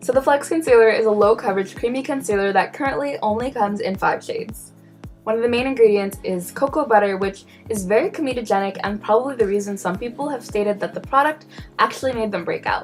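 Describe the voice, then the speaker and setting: Music sits in the background as a woman with a fairly high pitch speaks at a very fast pace. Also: ordinary pitch variation. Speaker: beauty vlogger. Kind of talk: product review to camera. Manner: casual, wry.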